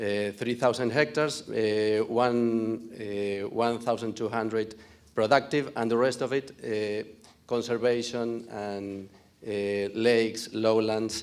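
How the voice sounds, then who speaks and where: A man at a medium pitch with a non-native accent, very slow pace and fairly even intonation. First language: Spanish. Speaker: farm owner. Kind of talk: conference presentation. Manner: halting.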